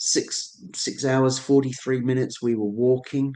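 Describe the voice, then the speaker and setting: A man with a Suffolk accent speaks at a medium pitch in a dark, mellow tone. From Suffolk, England. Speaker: ceremonialist, astronomer and photographer. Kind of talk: illustrated presentation talk.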